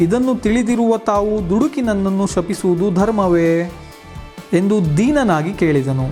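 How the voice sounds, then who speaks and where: Music plays in the background as a man speaks. His pitch is high, with ordinary pitch variation. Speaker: narrator, journalist, actor and voice-over artist. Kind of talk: mythological storytelling narration.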